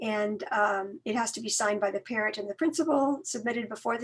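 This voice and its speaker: Her voice is somewhat breathy and sits fairly high for a woman. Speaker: college outreach staff. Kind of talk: online information workshop.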